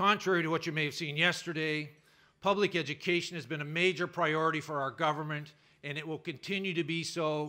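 The speaker talks at a fairly quick pace in a bright, sharp tone with fairly even intonation, over a quiet background. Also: man. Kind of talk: political speech. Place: hall. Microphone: podium.

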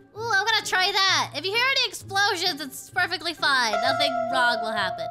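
A cartoonish character voice, bright and sharp in tone, at a fairly quick pace with lively intonation and faint music in the background. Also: woman, extremely high pitch for a woman.

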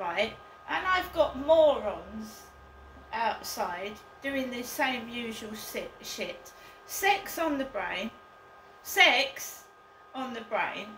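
With light background noise and audible room echo, a woman speaks in a high voice at a very slow pace with long, frequent pauses and big swings in loudness. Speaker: vlogger. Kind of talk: casual vlog chat. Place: home room. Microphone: camera far.

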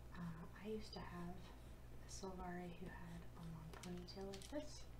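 The voice is soft-spoken and fairly slow. Noticeable background noise runs underneath. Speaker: digital artist. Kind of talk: ASMR soft-spoken ramble while drawing.

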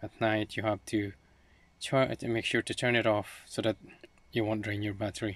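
A man talks at a moderate pace. Light background noise is present, and the sound is dry with no echo. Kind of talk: tutorial. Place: car. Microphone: phone near.

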